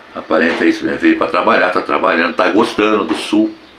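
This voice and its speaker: The talking goes along fairly quickly. Background noise can be clearly heard. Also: man. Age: 70s. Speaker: YouTube commentator. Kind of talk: casual vlog commentary. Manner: halting, with repetitions.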